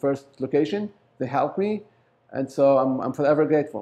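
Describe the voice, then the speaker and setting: Fairly high in pitch with a dark, mellow tone, a man with an Arabic accent speaks at a moderate pace. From Lebanon. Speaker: business owner. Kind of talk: interview. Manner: halting.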